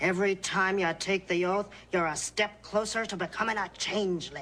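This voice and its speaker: Put-on character voice, middle in pitch, moderate in pace. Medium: voice reel. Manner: riddling, old-fashioned phrasing.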